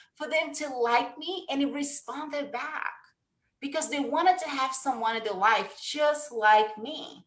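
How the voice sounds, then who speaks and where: Here a woman speaks with a Brazilian Portuguese accent. Her pitch is high. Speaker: sales coach. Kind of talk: webinar talk.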